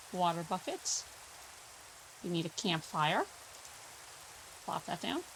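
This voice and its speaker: Over noticeable background noise, a woman speaks in a relaxed tone at a fairly slow pace, with ordinary pitch variation and long, frequent pauses. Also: fairly low pitch for a woman. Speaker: gaming YouTuber. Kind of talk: gameplay commentary. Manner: relaxed, casual.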